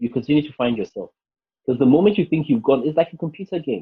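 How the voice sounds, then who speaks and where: A man talks very fast at a fairly high pitch, his voice somewhat breathy. His pitch swings very widely. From Nigeria. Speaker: life coach and public speaker. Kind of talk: interview conversation.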